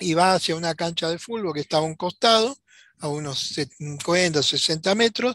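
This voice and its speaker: On a very clean recording with a silent background and a dry, close sound with no echo, a man speaks at a moderate pace in a high pitch with ordinary pitch variation. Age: 70s. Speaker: UFO witness. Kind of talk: interview testimony.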